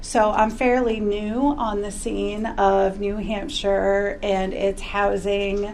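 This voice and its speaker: A woman speaks very slowly with hardly any pauses, her medium-pitched voice fairly even in intonation, amid noticeable background noise and audible room echo. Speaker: care coordination director. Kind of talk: panel discussion. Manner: loud.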